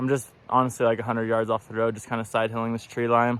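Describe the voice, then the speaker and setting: A man speaks very fast. His pitch sits in the medium range. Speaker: outdoor vlogger, shed hunter. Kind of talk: casual vlog narration while hiking. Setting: outdoors, hiking in the mountains. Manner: quiet, hushed; excited, exclamatory.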